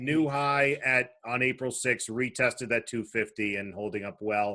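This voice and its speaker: Speaking at medium pitch, the man shows ordinary pitch variation. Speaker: podcast co-host, growth fund manager. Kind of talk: casual chat. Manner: fast; animated.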